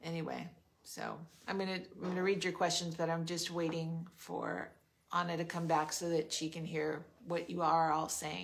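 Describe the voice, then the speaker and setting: Vocal fry marks this monotone, flat delivery in an American accent. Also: woman, fairly low pitch for a woman, moderate pace. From US West Coast, Los Angeles area (Monterey Park); California. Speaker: podcast host. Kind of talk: interview. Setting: on location at guest's home in the desert. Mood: warm, curious. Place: home room. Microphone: phone near.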